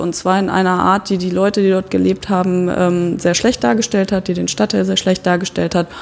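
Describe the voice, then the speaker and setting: A woman talks at a medium pitch amid noticeable background noise. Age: 30s. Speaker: art educator. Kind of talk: casual chat. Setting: artist's studio.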